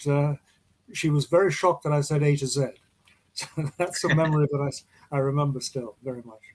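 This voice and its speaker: A man with a British accent speaks at a fairly quick pace with a fairly high pitch and a somewhat breathy quality. His intonation is fairly even, broken by long, frequent pauses. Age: 80s+. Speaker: actor. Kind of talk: interview.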